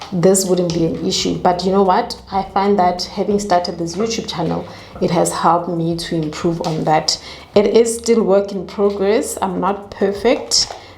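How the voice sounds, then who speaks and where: A woman talks at a fairly slow pace and a medium pitch with fairly even intonation, heard with audible room echo and noticeable background noise. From South Africa. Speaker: YouTuber. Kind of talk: casual chat. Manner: swallows words.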